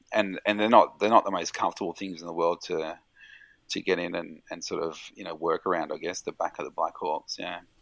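A man with an Australian accent, big swings in loudness and a dry, close sound with no echo. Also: fairly quick pace. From Victoria, Australia (South Gippsland, rural). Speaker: emergency doctor and military veteran. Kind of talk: casual chat.

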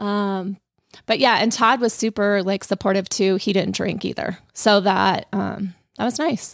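A woman talks at medium pitch with an American accent and vocal fry. The recording is very clean, with a silent background. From Colorado. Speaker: hairstylist. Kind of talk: casual chat.

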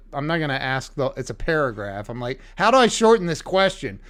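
A plain, everyday voice from a man, fairly high in pitch, with lively intonation. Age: 50s. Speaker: podcast host. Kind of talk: interview. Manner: excitable, repetitive.

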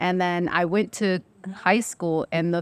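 On a very clean recording with a silent background, a woman with a normal speaking voice talks at a moderate pace and fairly low pitch, with fairly even intonation. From Mexican-American, US. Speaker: therapist. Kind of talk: casual chat.

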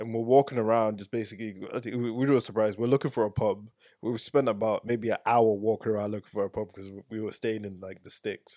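Over a silent background in a very clean, dry, close recording with no echo, a man with a dark, mellow, medium-pitched voice speaks very fast with hardly any pauses, his intonation flat and monotone but his loudness swinging widely. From Zimbabwe, raised in England from age six. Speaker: physics PhD student. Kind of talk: casual chat.

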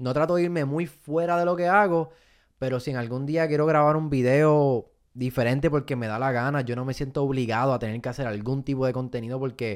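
A man talks at a fairly quick pace in an ordinary speaking voice, medium in pitch with ordinary pitch variation. The recording is very clean, with a silent background. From Puerto Rico (Fajardo). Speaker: comedian and content creator. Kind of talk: casual interview.

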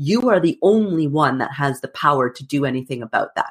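Lively intonation and a fairly quick pace mark a woman's normal speaking voice. The recording is very clean, with a silent background. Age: 40s. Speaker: motivational speaker and abuse survivor. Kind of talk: personal testimony interview.

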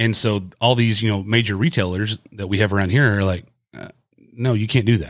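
This man has an ordinary speaking voice. His pitch is fairly low and his intonation fairly even. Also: fairly quick pace. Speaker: podcast host. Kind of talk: casual chat.

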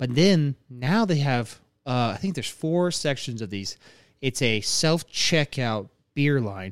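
In a very clean recording with a silent background, a man with an ordinary speaking voice talks at a fairly slow pace with lively intonation. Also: medium pitch for a man. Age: 30s. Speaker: podcast host. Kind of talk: casual chat.

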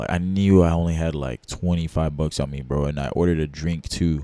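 With an American accent, a man speaks at a very deep, low pitch in a dark, mellow tone. His intonation is fairly even and his pace fairly quick. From Texas. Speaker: entrepreneur and hobby musician. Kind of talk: casual chat.

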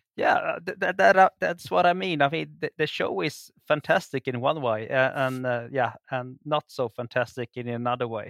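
Speaking with a Swedish accent, a man at medium pitch keeps a moderate pace with hardly any pauses and lively intonation, the sound dry and close with no echo. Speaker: archaeologist guest. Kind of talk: casual chat. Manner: halting, many fillers and repetitions.

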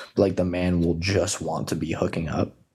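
A man talks with a very deep, low pitch and vocal fry. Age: 20s. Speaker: podcast co-host. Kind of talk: casual chat.

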